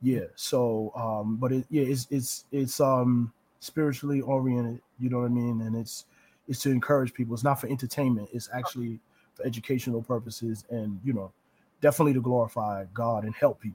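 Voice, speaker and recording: An American man with an unremarkable speaking voice talks at a fairly quick pace, with medium pitch and fairly even intonation. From New Rochelle, New York. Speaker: preacher. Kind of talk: casual interview.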